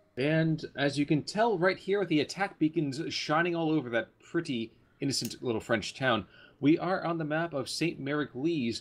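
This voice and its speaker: An unremarkable speaking voice moves at a moderate pace with ordinary pitch variation against a quiet background. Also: man, fairly high pitch for a man. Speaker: game caster. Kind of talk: casual game commentary.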